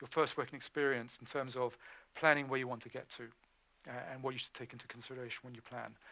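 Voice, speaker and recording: A man with a British accent speaks at a very fast pace. His tone is bright and sharp, and his intonation is monotone and flat. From England. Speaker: recruiter. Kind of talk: webinar talk. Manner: halting.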